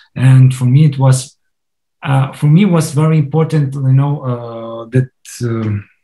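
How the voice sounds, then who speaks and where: A man with a Russian accent, medium pitch and a dark, mellow tone, somewhat breathy, with fairly even intonation at a moderate pace. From Crimea. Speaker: film director. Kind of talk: interview. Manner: halting, many fillers and restarts.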